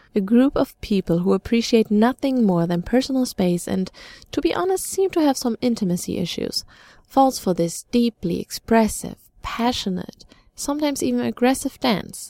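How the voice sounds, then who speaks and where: A woman's fairly high voice with a German accent and very wide pitch swings, dry and close with no echo. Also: moderate pace. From Germany. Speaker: student radio reporter. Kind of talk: scripted narration.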